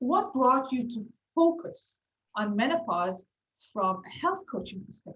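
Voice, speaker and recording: At a fairly slow pace, a woman speaks in a high voice with very wide pitch swings and big swings in loudness. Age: 40s. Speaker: podcast host, health coach. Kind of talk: interview conversation.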